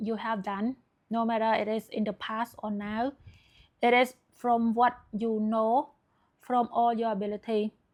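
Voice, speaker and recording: Someone with a non-native accent speaks at a fairly slow pace in a monotone, flat intonation, in a very clean recording with a silent background. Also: woman. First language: not English. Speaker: self-help video creator. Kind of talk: motivational talk to camera. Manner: hesitant, frequent fillers.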